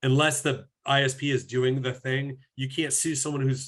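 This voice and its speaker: A man talks at a fairly quick pace with a fairly high pitch. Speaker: privacy and compliance officer. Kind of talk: webinar presentation. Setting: video call. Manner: fast; casual, conversational.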